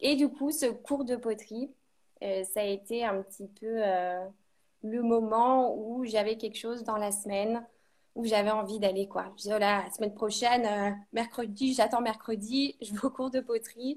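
A woman's plain, everyday voice, fairly high in pitch, with fairly even intonation and a fairly slow pace. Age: 30s. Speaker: ceramic artist. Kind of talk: interview.

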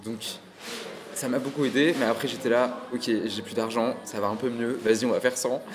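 A man speaks at a medium pitch in a monotone, flat delivery. He leaves long, frequent pauses amid noticeable background noise. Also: moderate pace. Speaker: podcast host. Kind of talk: casual interview. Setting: café.

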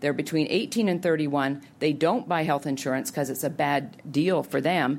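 A woman with a very deep, low pitch and ordinary pitch variation speaks at a moderate pace with hardly any pauses, amid audible room echo. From Canada. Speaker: health policy think tank head. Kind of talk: public policy talk. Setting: auditorium with audience.

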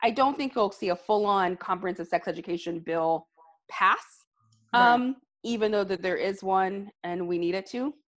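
A woman with a normal speaking voice and an American accent speaks at a medium pitch and moderate pace with ordinary pitch variation against a quiet background. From US South, Alabama. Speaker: reproductive health policy advocate and consultant. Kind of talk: casual interview.

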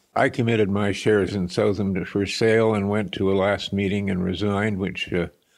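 A man talks at a moderate pace in a fairly low pitch, his intonation monotone and flat. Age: 80s+. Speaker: retired businessman and former reporter. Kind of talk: interview. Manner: halting.

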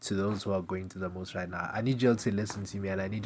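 With a British accent, a man is speaking. His voice is very deep and low. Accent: British urban. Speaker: podcast host. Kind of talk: casual solo monologue. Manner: casual, rambling.

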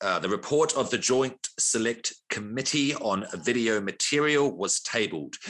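The speaker has a New Zealand accent and a bright, sharp tone, talking at a fairly slow pace with ordinary pitch variation. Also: man. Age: 40s. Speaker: podcast host. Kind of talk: casual chat.

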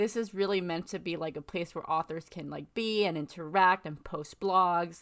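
Over a very clean, silent background, a woman talks at a moderate pace in a fairly low voice with ordinary pitch variation. She has a plain, everyday voice. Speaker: writer. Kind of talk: casual chat.

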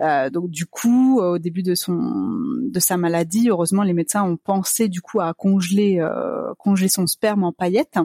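Recorded dry and close with no echo, an unremarkable speaking voice moves at a fairly slow pace with ordinary pitch variation. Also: woman, medium pitch for a woman. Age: 30s. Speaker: business manager sharing fertility journey. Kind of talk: interview testimony.

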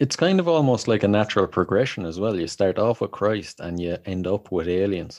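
At a fairly quick pace and fairly low pitch, a man speaks with an Irish accent over a quiet background. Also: ordinary pitch variation. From Ireland. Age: 30s. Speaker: podcast host. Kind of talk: casual chat.

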